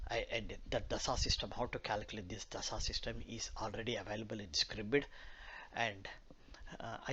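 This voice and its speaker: A man speaks with a Telugu accent, and the room's echo is audible. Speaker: astrologer. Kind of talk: lecture. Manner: halting, many fillers.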